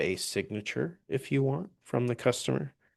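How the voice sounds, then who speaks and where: A man talks with an ordinary speaking voice at a medium pitch and moderate pace. His pitch varies in an ordinary way, and the background is quiet. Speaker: software trainer. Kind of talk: live webinar tutorial. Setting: live webinar with screen share.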